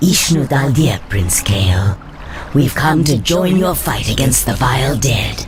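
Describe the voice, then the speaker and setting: A man performs a put-on character voice at a fairly slow pace. Background noise is clearly audible. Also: medium pitch for a man. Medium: machinima. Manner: smooth, persuasive.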